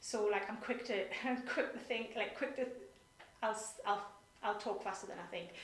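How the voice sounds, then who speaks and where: With a British accent and a fairly high pitch, a woman speaks with long, frequent pauses amid noticeable background noise and audible room echo. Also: fairly even intonation. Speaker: nonprofit director. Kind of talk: interview. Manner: fast.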